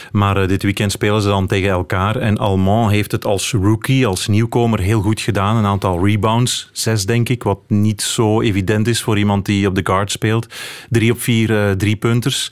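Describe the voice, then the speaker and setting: A man speaks at a moderate pace in a fairly low pitch, with a monotone, flat intonation. His loudness stays very even, and he hardly pauses. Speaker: cycling reporter and commentator. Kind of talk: radio panel discussion.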